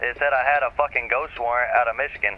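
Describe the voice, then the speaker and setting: A man talks at a very fast pace with fairly even intonation. Noticeable background noise sits behind him. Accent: American. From US South / Appalachia. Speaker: streamer. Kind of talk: casual chat.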